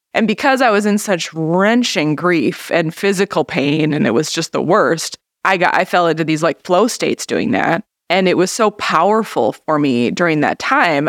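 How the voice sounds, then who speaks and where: Speaking at a moderate pace, a woman with a fairly low pitch talks in an Upper Midwest US accent. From northern Minnesota. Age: 40s. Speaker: artist. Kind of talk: casual chat.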